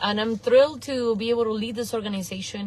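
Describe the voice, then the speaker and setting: A woman with an Argentinian accent, fairly quick pace and fairly even intonation. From Argentina, then Venice, Florida from age eleven. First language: Spanish. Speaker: nonprofit executive director, former teacher. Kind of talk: interview. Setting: in a car.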